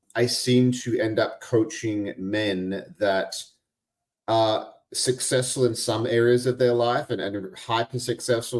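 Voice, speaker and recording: A man with an Australian accent and fairly even intonation, on a very clean recording over a silent background. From Australia (Albany, Western Australia). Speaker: podcast host and integration coach. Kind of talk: casual interview chat.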